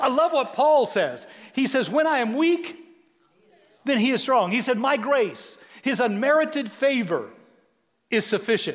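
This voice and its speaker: With an American accent and an extremely high pitch, a man talks in an animated tone at a fairly slow pace, leaving long, frequent pauses, while the room echo is audible. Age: 60s. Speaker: pastor. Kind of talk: sermon.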